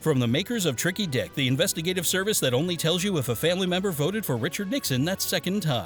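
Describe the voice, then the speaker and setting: A man talks at a very fast pace with high pitch, lively intonation and hardly any pauses. His loudness stays very even while music plays in the background. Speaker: voiceover performer. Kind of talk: TV commercial read. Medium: sketch comedy.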